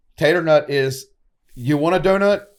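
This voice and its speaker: A man with a Southern US accent and ordinary pitch variation, on a very clean recording with a silent background. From northern Mississippi. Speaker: podcast host. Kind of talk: casual chat. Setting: live recording at a coffee shop.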